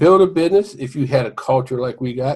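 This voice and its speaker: A man's voice at a moderate pace with very wide pitch swings. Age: 60s. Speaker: home business marketer. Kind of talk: casual sales pitch to camera. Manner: informal, halting with fillers.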